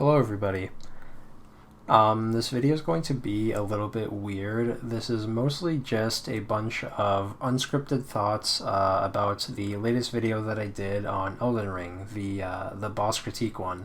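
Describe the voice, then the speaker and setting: Against noticeable background noise, a man talks at a moderate pace with a fairly low pitch and ordinary pitch variation. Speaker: video game critic youtuber. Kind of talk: casual unscripted monologue. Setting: away from usual recording space. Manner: quiet, trying not to be loud; low energy, hesitant with many fillers. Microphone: poor mic quality.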